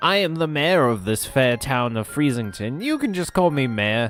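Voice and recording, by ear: Using a put-on character voice, a raspy man at a medium pitch speaks at a moderate pace over clear music in the background.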